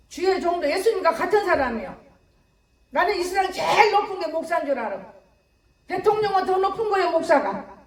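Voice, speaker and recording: Animated and extremely high-pitched, a woman talks at a fairly quick pace with ordinary pitch variation, long, frequent pauses and audible room echo. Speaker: pastor. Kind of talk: sermon. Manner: fast.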